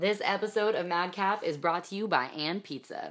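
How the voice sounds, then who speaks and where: This is a normal speaking voice. It moves at a moderate pace with ordinary pitch variation. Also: woman. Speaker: podcast host reading ad. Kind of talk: scripted ad read and intro.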